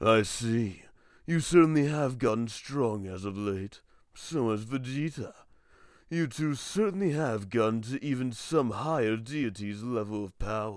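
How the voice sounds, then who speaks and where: Putting on a character voice, a man speaks at a moderate pace and medium pitch. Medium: comedy sketch. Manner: smug, condescending, amused.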